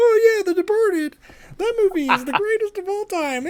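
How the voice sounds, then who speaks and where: Squeaky and at an extremely high pitch, this put-on character voice moves at a moderate pace. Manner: enthusiastic.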